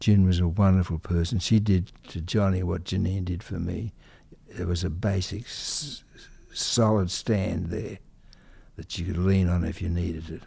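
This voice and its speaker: Speaking with an Australian accent, a man uses a very deep, low pitch and a somewhat breathy delivery. He talks at a fairly slow pace. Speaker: conductor and composer. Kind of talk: interview. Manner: halting.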